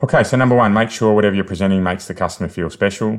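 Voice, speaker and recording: A man speaks with an Australian accent and ordinary pitch variation. The background is quiet. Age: 40s. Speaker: sales coach and podcast host. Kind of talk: solo podcast monologue, coaching. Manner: energetic, conversational.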